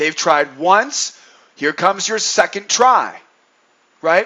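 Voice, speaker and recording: Fairly slow and animated, a man speaks in a high pitch with ordinary pitch variation. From New England. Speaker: day trading educator. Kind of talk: trading commentary.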